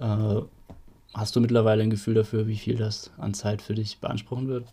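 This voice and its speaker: This man has a somewhat breathy voice with a dark, mellow tone, medium pitch and a moderate pace. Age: 30s. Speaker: local political activist, podcast host. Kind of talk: casual chat.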